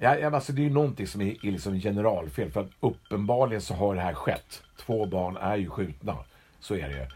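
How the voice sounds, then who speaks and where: A man at a fairly quick pace, fairly low in pitch with vocal fry and very wide pitch swings. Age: old. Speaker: podcast co-host. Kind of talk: casual chat.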